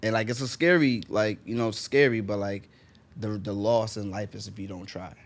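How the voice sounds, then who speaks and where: Speaking in a New York accent at a moderate pace, a man uses a fairly low pitch with ordinary pitch variation and big swings in loudness. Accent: New York English, learned American. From Jamaica, raised in New York. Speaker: fashion designer. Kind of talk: casual chat. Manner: animated.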